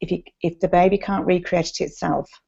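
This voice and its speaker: A woman speaks with an English accent at a medium pitch. Vocal fry runs through her voice. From England. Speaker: nurse and sleep consultant. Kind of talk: casual advice chat.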